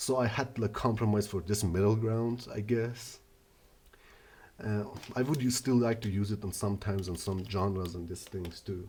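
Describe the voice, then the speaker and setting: Speaking with a non-native accent, a man with a fairly low pitch and a dark, mellow, somewhat breathy tone talks at a moderate pace with fairly even intonation. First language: not English. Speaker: earbud reviewer. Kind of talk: product review. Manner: halting, many fillers.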